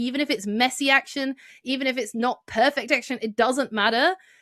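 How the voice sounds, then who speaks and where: A woman with a British accent speaks at a fairly quick pace, with a high pitch and ordinary pitch variation. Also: dry, close sound with no echo. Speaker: marketing consultant and author. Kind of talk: podcast interview. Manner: animated.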